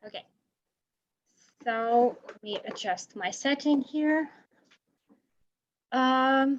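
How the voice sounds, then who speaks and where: A woman with a Brazilian Portuguese accent and fairly even intonation. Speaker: researcher. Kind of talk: lecture. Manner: halting.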